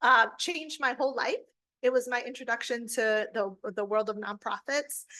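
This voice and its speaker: A woman speaks in a high voice with a bright, sharp tone. Her pitch varies in an ordinary way. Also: moderate pace. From Holyoke and Springfield, Massachusetts (Puerto Rican family). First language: Spanish. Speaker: college center director. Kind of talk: interview, personal story.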